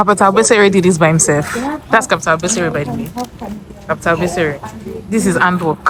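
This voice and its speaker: Against noticeable background noise, a woman with a fairly low pitch talks at a very fast pace, broken by long, frequent pauses. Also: ordinary pitch variation. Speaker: vlogger. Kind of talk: casual vlog talk.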